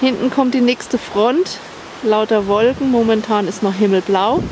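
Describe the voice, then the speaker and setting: The speech moves at a moderate pace. The sound is dry with no echo, and there is noticeable background noise. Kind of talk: casual vlog chat. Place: waterside. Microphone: phone near.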